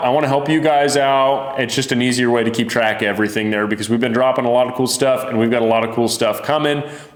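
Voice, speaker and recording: A man speaks at a very fast pace in a medium pitch, with ordinary pitch variation and an animated tone. Audible room echo and noticeable background noise come through in the recording. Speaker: fishing lure maker and channel host. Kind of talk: casual product video talk.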